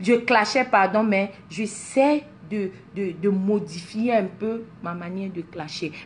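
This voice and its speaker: Speaking at a very slow pace, a woman sounds somewhat breathy, and her pitch varies in an ordinary way. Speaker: social media personality. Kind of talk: motivational talk to followers. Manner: animated, mixes French and English.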